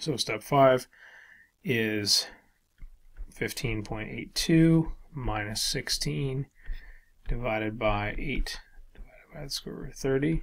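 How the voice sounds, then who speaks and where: At a very slow pace, a man talks at a medium pitch. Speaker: statistics instructor. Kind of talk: tutorial. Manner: monotone; hesitant, many fillers.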